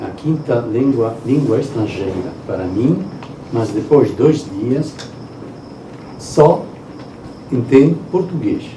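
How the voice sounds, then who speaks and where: A man speaks at a very slow pace with long, frequent pauses and a medium pitch. Audible room echo and noticeable background noise surround him. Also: lively intonation. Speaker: professor, guest speaker. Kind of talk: lecture. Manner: halting.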